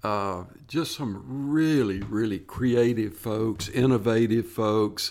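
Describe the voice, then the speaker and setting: A man with a Tennessee accent at a medium pitch, on a very clean recording with a silent background. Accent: US Southern (Tennessee). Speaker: retired state parks programming official. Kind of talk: interview.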